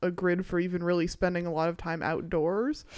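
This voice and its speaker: A woman with a plain, everyday voice, fairly low in pitch and fairly even in intonation, in a very clean recording with a silent background. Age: 20s. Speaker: podcast co-host. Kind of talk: casual chat.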